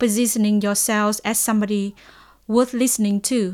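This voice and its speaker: The recording is very clean, with a silent background. The speaker has a Vietnamese accent. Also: woman. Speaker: lecturer and researcher. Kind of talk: lecture. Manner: halting.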